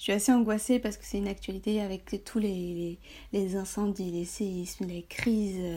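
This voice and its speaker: A woman's dark, mellow, somewhat breathy voice at medium pitch, on a very clean recording with a silent background. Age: 20s. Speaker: blogger on high sensitivity. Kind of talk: casual interview chat.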